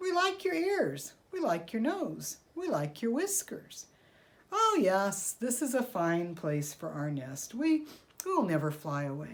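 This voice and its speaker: Putting on a character voice, a woman speaks at medium pitch and a fairly slow pace. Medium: read story.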